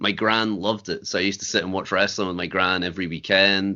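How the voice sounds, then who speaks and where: In a Scottish accent, a man speaks at a fairly quick pace with a fairly low pitch. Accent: Scottish (Fife). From Scotland, Fife. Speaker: wrestler and promoter. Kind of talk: interview.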